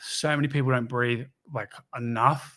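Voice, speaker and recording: Bright and sharp in tone, the voice holds monotone, flat intonation on a very clean recording with a silent background. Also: man. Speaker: podcast host, personal trainer. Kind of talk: solo podcast reflection. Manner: fast.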